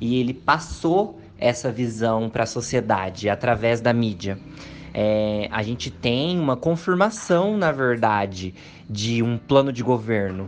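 A man speaks at a fairly slow pace and a medium pitch. His intonation is lively. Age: 20s. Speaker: university student. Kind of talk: panel discussion. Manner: hesitant with filler sounds.

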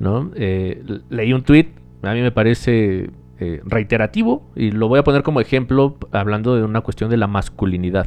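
Speech with ordinary pitch variation, delivered in a Mexican accent. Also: man, medium pitch for a man, moderate pace. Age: 20s. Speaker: podcast co-host. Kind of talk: casual chat.

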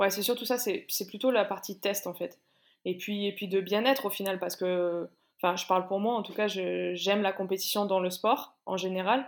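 A woman with an unremarkable speaking voice, medium pitch, fairly even intonation and a moderate pace, in a very clean recording with a silent background. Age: 30s. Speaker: CrossFit athlete and coach. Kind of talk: interview.

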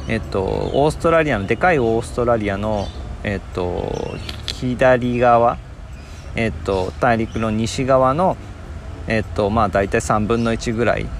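With a Nagasaki accent, a man speaks at a medium pitch and a fairly slow pace, with audible room echo and noticeable background noise. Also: lively intonation. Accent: Nagasaki dialect Japanese. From Japan, Nagasaki. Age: 40s. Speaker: podcaster. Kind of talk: casual monologue. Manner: many fillers.

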